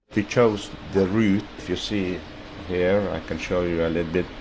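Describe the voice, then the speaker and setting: Over noticeable background noise, the voice moves at a fairly slow pace with fairly even intonation. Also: man. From Norway. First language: Norwegian. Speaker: ice pilot. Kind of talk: interview.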